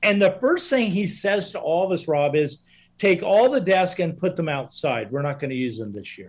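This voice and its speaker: In a very clean recording with a silent background, a man speaks at a moderate pace in a high voice. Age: 60s. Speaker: guest speaker on overcoming dyslexia. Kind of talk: casual interview storytelling. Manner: repetitive false starts.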